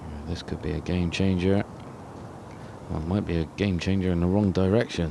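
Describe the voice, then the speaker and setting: A man in a Bristolian accent, very deep and low-pitched, at a fairly quick pace with fairly even intonation, long, frequent pauses and noticeable background noise. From Bristol, England. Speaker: golf pundit. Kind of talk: live commentary.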